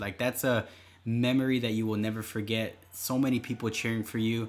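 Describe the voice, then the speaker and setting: This man has an ordinary speaking voice at a medium pitch and talks at a fairly quick pace. The recording is very clean, with a silent background. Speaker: podcast co-host and runner. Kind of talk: casual chat, running tips. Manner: relaxed, conversational.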